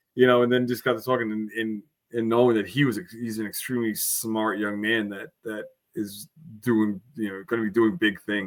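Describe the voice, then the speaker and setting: Here a man speaks in a medium pitch. His pace is fairly quick. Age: 40s. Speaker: former reality show contestant. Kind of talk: casual podcast interview. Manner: animated.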